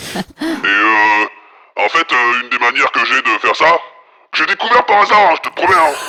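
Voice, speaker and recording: Putting on a character voice, a man speaks high at a moderate pace, stopping often for long pauses. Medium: actual play. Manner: vague, halting, casual.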